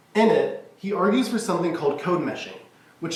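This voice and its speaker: Noticeable background noise and audible room echo accompany a man talking fairly quickly. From Kentucky, Louisville. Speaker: college student. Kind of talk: speech contest address. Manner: formal.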